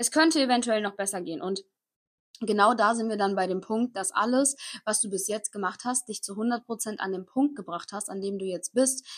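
At a moderate pace, a woman speaks with an energetic tone at a fairly high pitch and ordinary pitch variation. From Koblenz, western Germany. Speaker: podcast host, online entrepreneur and mindset coach. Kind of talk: motivational monologue.

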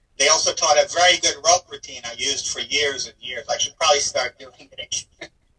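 Heard in a dry, close sound with no echo, a man talks at a fairly quick pace with hardly any pauses and big swings in loudness. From Israel, moved to US at ten. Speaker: comedy magician. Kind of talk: casual interview. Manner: halting, many fillers.

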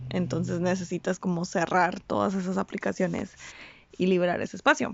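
A woman at medium pitch talks with vocal fry. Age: 20s. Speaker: podcast host. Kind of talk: personal monologue. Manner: casual, hesitant.

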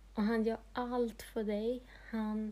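Her voice is fairly high in pitch, somewhat breathy, with a dark, mellow tone. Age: 30s. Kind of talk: personal testimony monologue.

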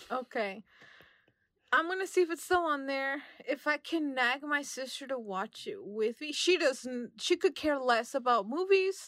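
With an American accent, a woman speaks high in pitch at a fairly slow pace, using lively intonation. The sound is dry and close, with no echo. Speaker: movie podcast co-host. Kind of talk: casual chat.

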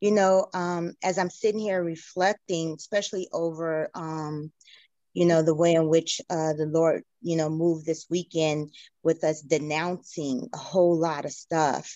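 With a normal speaking voice, a woman talks at a fairly slow pace. Her pitch is fairly low and her intonation fairly even. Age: 50s. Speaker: church member. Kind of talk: testimony.

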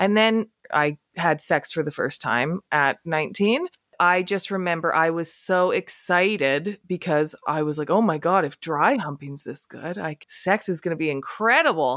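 A woman with an unremarkable speaking voice talks at a moderate pace in a fairly low pitch with ordinary pitch variation, recorded dry and close with no echo on a very clean track with a silent background. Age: 30s. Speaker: sex educator. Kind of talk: casual chat.

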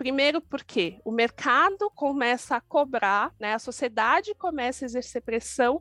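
A woman speaks at a moderate pace with ordinary pitch variation in a dry, close sound with no echo. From São Paulo periphery (Grajaú). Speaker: diversity and inclusion manager. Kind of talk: podcast interview.

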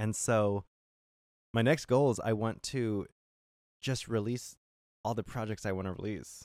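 A man speaks at medium pitch with an American accent, fairly slowly, with long, frequent pauses and fairly even intonation. The recording is very clean, with a silent background. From California. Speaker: singer-songwriter. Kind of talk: casual chat. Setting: on a boat.

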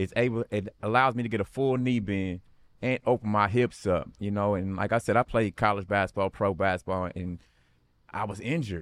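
This is an ordinary speaking voice at a fairly quick pace with ordinary pitch variation, recorded with a dry, close sound and no echo. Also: man, fairly low pitch for a man. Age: 40s. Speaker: athlete and coach. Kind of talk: casual chat.

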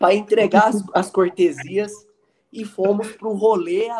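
The pace here is fairly slow. Pitch moves with ordinary variation. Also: man. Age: 30s. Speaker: psychologist and student association president. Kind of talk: casual interview. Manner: halting.

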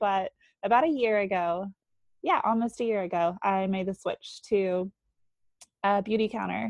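A woman with an American accent speaks at a moderate pace and medium pitch, with ordinary pitch variation and long, frequent pauses. The sound is dry and close with no echo, over a quiet background. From North Carolina. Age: 20s. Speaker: stay-at-home mom. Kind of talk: casual interview.

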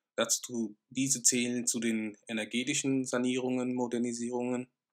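A man talks at a fairly slow pace. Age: 20s. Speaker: real estate business owner. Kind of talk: educational podcast monologue.

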